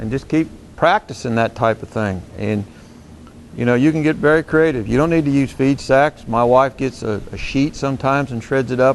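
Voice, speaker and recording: A calm-toned man at a medium pitch, moderate pace and ordinary pitch variation. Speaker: horse trainer. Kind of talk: tutorial. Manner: calm, mild tone; soft-spoken.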